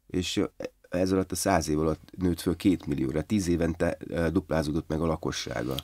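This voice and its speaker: Against a quiet background, a man with a very deep, low pitch, a dark, mellow tone and vocal fry talks at a moderate pace with fairly even intonation and very even loudness. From eastern Hungary, Debrecen; eastern Hungary. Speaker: film and theatre director; podcast guest. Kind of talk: casual interview; interview answer. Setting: studio. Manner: halting, many repetitions. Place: studio. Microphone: studio mic.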